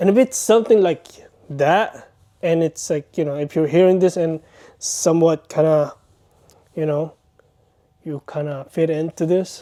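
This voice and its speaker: A man with a non-native accent speaks at a moderate pace in a fairly high voice with a dark, mellow tone and ordinary pitch variation, recorded dry and close with no echo. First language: not English. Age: 30s. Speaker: vlogger. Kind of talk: personal vlog monologue. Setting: bedroom, self-recorded. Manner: earnest, hesitant.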